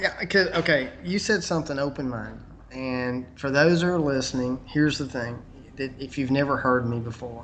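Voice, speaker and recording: A man with a Southern US accent at medium pitch, with noticeable background noise. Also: ordinary pitch variation, moderate pace. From US South. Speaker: conspiracy video maker. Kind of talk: interview. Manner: halting.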